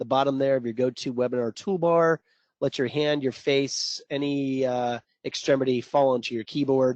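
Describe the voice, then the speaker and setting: A man uses an ordinary speaking voice at a medium pitch and a moderate pace. The background is quiet, and the sound is dry and close with no echo. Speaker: trading coach. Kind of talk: live webinar presentation. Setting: online webinar. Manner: casual, joking.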